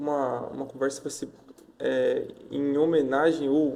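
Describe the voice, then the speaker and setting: A man is speaking. His tone is dark and mellow. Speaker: podcast host. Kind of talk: casual podcast talk.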